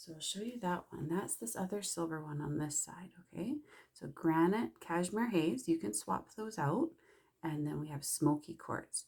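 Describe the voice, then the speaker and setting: Soft-spoken, a woman with a fairly low pitch talks at a moderate pace with lively intonation. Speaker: makeup consultant. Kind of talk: tutorial. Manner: casual.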